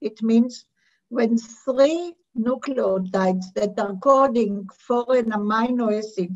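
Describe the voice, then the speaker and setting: Her intonation stays fairly even as the woman talks. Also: quiet background. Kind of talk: lecture. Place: home room. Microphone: webcam.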